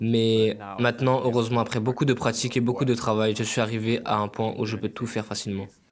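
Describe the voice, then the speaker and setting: This man's intonation is monotone and flat. He speaks at a fairly quick pace. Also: medium pitch for a man. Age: 20s. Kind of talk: interview answer. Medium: dub.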